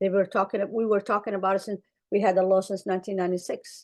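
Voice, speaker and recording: Over a quiet background, a woman with an Arabic accent talks at a moderate pace and a medium pitch. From Somalia. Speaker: clinician. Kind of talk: webinar panel talk. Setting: webinar.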